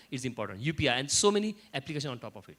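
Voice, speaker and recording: A man talks very fast in a fairly high voice, his pitch varying in an ordinary way. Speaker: panel speaker. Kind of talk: panel discussion. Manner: repetitive false starts.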